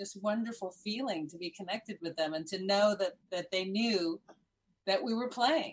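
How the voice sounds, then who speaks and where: A woman with an American accent uses an ordinary speaking voice, with ordinary pitch variation at a moderate pace. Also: medium pitch for a woman. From Miami, Florida, Cuban American. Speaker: improv comedian. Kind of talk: casual chat.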